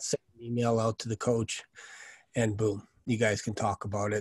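Over a quiet background, a man speaks somewhat breathily at a fairly quick pace, in a dry sound with no echo. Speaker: sales coach. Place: home room. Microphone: studio mic.

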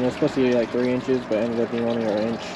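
Very fast speech over noticeable background noise, the sound dry with no echo. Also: man. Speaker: tortoise keeper vlogger. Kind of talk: casual vlog chat. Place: garden. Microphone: phone near.

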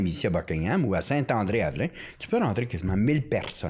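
Vocal fry runs through this man's voice, and his pitch swings very widely. The background is quiet. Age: 60s. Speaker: priest, former prison chaplain. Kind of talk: casual interview chat. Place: studio. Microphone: studio mic.

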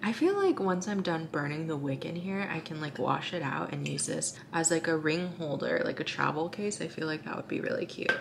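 A woman at a fairly quick pace with few pauses, low-pitched for a woman, with vocal fry, lively intonation and clear background noise.

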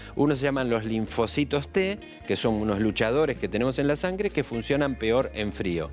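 Faint background music under a man's voice, the pace moderate. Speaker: TV guest. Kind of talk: explanatory interview answer. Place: studio.

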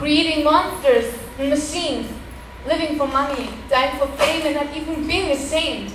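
With noticeable background noise behind her, a woman speaks fairly slowly at a high pitch. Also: fairly even intonation. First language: German. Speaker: poet. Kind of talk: poem performed. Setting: stage with audience. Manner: rhythmic, earnest spoken-word delivery with rhymed, emphatic lines.

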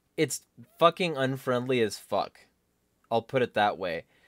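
The background is quiet, and the sound is dry with no echo. A man does the talking. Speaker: political vlogger. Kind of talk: casual vlog commentary rant. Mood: irritated, complaining. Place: home room. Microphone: studio mic.

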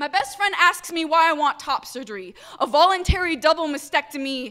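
A woman with an extremely high pitch speaks in a raised, projected voice. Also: quiet background. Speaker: poet and activist. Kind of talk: slam poetry performance. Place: hall. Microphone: handheld.

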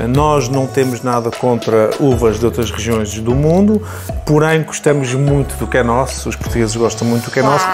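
A man speaks at a moderate pace. Music plays clearly behind him. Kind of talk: interview answer. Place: shop. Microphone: lapel.

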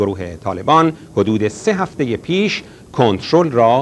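Over light background noise, a man speaks at a fairly slow pace with very wide pitch swings. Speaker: news announcer. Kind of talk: news reading. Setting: studio. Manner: formal. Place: studio.

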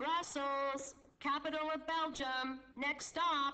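Put-on character voice at a high pitch, very slow pace, monotone, flat intonation. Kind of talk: station announcement.

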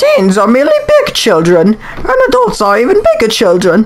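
Someone uses a put-on character voice at a moderate pace. Clear background noise can be heard. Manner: haughty, regal.

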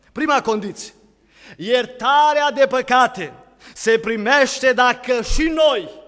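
Over a quiet background, a man with an extremely high voice speaks very slowly, with ordinary pitch variation. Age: 20s. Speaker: preacher. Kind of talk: sermon. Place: church. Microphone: podium.

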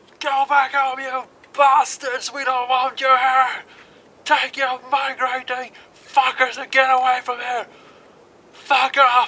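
Shouting in a cartoonish character voice, the speaker holds a high pitch with monotone, flat intonation, moving at a fairly slow pace with long, frequent pauses. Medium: puppet show. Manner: shouting, enraged.

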